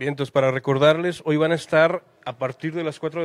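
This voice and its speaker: His intonation stays fairly even, delivered at a moderate pace. A man talks in a plain, everyday voice. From Mexico. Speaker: interviewer. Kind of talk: interview. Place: cafe. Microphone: handheld.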